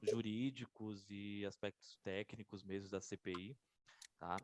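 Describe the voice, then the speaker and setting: The sound is dry and close, with no echo. Music plays in the background. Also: man. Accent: Bahian. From Bahia, Brazil. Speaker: lawyer, legislative attorney. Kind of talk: online lecture. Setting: video call. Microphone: faulty mic, sound too quiet.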